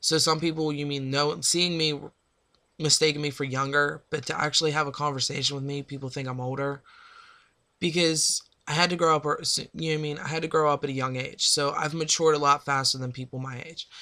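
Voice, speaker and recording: A man talks at a fairly quick pace with an American accent, his fairly high voice bright and sharp. The intonation is monotone and flat, and the recording is very clean with a silent background. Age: 20s. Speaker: vlogger sharing personal life update. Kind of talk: personal vlog monologue.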